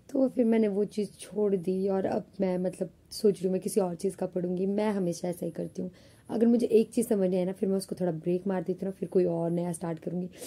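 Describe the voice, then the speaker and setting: A woman speaks at a fairly quick pace with medium pitch and fairly even intonation. Her tone is dark and mellow, and somewhat breathy. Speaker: vlogger, college student. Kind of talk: casual vlog talk. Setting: alone in her room. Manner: chatty, conversational.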